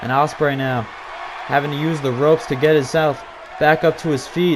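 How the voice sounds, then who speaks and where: Crowd noise fills the background as a man talks at a fairly quick pace. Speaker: video game commentator. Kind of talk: live commentary. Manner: fast.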